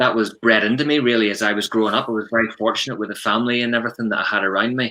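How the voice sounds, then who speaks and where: With a Northern Irish accent, the speaker talks at a fairly quick pace in a bright, sharp tone. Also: man. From Northern Ireland, Ballymena, County Antrim. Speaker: prevent coordinator, former police detective. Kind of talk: podcast interview.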